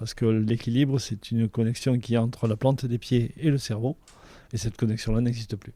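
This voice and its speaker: A man with a dark, mellow tone and medium pitch speaks fairly quickly in a monotone, flat intonation on a very clean recording with a silent background. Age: 60s. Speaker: engineering project manager. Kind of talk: interview testimony. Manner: hesitant, with filler sounds.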